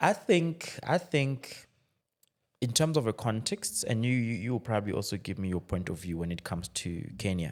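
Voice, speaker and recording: A man at medium pitch and moderate pace, his pitch swinging very widely, on a very clean recording with a silent background. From DR Congo. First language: French. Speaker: tech entrepreneur. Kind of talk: podcast conversation. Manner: halting, many repetitions.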